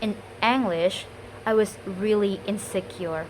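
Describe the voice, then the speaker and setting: A woman speaks at a medium pitch with an Indonesian accent and ordinary pitch variation. Noticeable background noise can be heard. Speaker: student. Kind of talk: spoken test monologue. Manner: halting.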